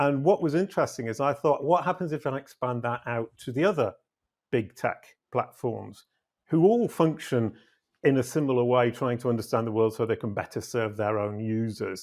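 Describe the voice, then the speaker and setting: On a very clean recording with a silent background, a man with a British accent speaks at medium pitch and a moderate pace, with ordinary pitch variation. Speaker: SEO consultant and company CEO. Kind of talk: interview podcast.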